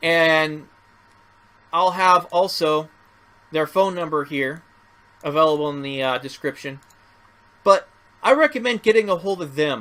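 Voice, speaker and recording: The voice is loud, with a bright, sharp tone, ordinary pitch variation, a fairly slow pace and long, frequent pauses. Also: man, fairly high pitch for a man. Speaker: first amendment auditor. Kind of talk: vlog commentary. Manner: animated.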